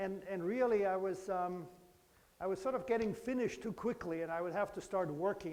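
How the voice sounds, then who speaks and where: In a room with audible echo, a man speaks very fast at a high pitch with a dark, mellow tone. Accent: German. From Germany, Bavaria. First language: German. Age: 50s. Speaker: professor. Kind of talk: lecture. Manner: conversational, engaging with children.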